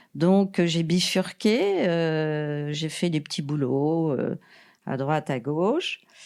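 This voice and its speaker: A woman speaks at a very slow pace with a very deep, low pitch and ordinary pitch variation. The recording is very clean with a silent background. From Paris, France. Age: 70s. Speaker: retired TV production worker, mother of the host. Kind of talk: casual interview. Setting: family holiday house with children. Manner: hesitant, many fillers.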